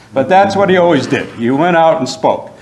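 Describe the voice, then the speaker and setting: Audible room echo is present. A man is the one talking. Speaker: history professor. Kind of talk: lecture. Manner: loud. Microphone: no microphone, projecting.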